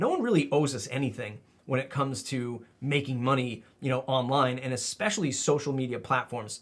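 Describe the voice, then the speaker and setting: The man's voice is somewhat breathy. He speaks with hardly any pauses. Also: medium pitch for a man, ordinary pitch variation, fairly quick pace. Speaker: YouTuber and marketing content creator. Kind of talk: casual vlog monologue. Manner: conversational with filler words.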